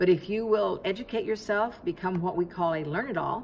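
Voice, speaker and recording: A woman speaks at a very fast pace in a medium pitch with ordinary pitch variation and noticeable background noise. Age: 70s. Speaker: direct sales clothing seller. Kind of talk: promotional vlog talk. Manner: conversational with fillers.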